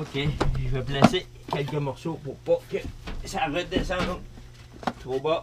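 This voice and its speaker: A man speaks very slowly at a fairly high pitch, with fairly even intonation and long, frequent pauses. Noticeable background noise runs underneath. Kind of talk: casual talk to camera.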